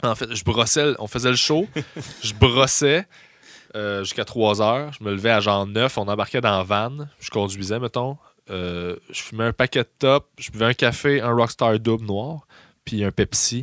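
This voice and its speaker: In a very clean recording with a silent background and a dry, close sound with no echo, a man with a Quebec accent speaks at medium pitch with ordinary pitch variation. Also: fairly slow pace. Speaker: stand-up comedian. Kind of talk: casual chat.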